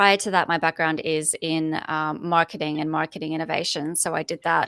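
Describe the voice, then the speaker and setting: A very clean recording has a silent background. The voice carries an Australian accent. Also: woman, dry, close sound with no echo. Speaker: corporate foresight lead, podcast host. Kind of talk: interview conversation.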